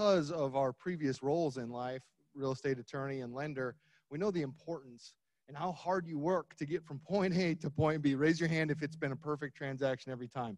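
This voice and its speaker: Against a quiet background, a man talks at a fairly quick pace and fairly high pitch with ordinary pitch variation. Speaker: title company representative. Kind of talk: sponsor pitch to audience. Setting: conference stage with audience. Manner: loud.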